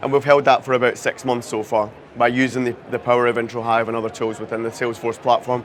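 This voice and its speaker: A man with a Scottish accent talks at a very fast pace in a monotone, flat intonation. Noticeable background noise runs underneath. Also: medium pitch for a man. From Scotland. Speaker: CRM and marketing technology lead. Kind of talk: conference talk.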